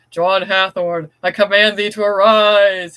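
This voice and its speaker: A man's put-on character voice, high in pitch with monotone, flat intonation, at a fairly slow pace. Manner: goofy, mock-spooky.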